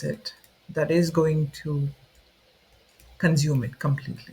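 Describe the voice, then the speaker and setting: A man speaks with a non-native accent. His voice is fairly high-pitched and his pace fairly slow. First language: not English. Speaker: student video creator. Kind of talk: unscripted explainer talk. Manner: informal, with fillers and self-corrections.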